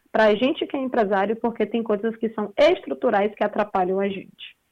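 A woman uses a plain, everyday voice at a fairly high pitch with ordinary pitch variation. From Brazil, Salvador (Bahia). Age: 20s. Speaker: entrepreneur. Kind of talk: interview.

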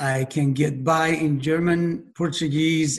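A man speaks with fairly even intonation at a fairly high pitch. Audible room echo surrounds his voice.

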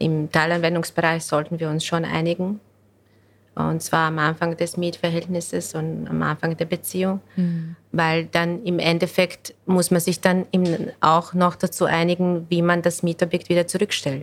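At a moderate pace, the speaker talks with a Bosnian accent in a monotone, flat intonation. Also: woman, fairly low pitch for a woman. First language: Bosnian (speaking German). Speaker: real estate lawyer. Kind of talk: podcast interview.

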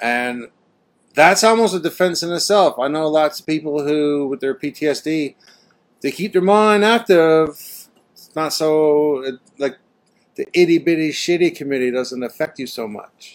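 A man uses an ordinary speaking voice with a Canadian accent and a fairly high pitch. He goes at a fairly slow pace with ordinary pitch variation and big swings in loudness. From Canada. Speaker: podcast host. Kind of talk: casual chat. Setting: video call.

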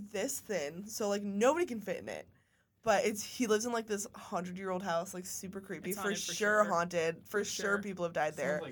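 A woman with a plain, everyday voice and a medium pitch uses lively intonation at a moderate pace in a very clean recording with a silent background. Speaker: podcast co-host. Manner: casual, chatty.

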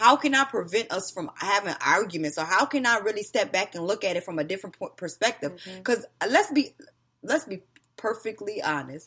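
A woman with an American accent speaks at a fairly quick pace and medium pitch, with lively intonation. Her tone is animated, bright and sharp. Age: 30s. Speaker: podcast host. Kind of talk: casual chat.

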